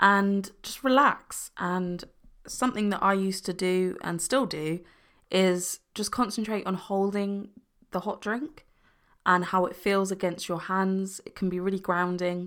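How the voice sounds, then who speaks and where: Delivery is at a fairly slow pace with fairly even intonation. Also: woman, medium pitch for a woman. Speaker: podcast host discussing mental health. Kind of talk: solo podcast monologue, calm and supportive. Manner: soothing, personable.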